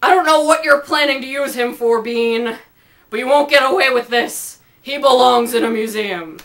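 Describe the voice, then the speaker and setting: A woman's raspy, high-pitched put-on character voice at a moderate pace. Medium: read story.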